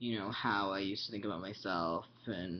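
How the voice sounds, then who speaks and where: A man speaks in a fairly low voice. His pitch variation is ordinary. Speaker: vlogger. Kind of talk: casual chat. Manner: hesitant, many fillers.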